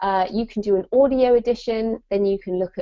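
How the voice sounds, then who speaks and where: Here a woman speaks with a British accent. Her pitch is medium. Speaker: author and writing business adviser. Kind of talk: webinar presentation. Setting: online live event. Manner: animated.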